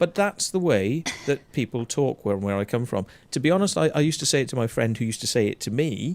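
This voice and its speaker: A man with a Welsh accent talks at a very fast pace in a medium pitch, his voice swinging very widely up and down, in a very clean, dry, close recording with a silent background and no echo. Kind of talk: blunt, swearing. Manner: aggressive, confrontational.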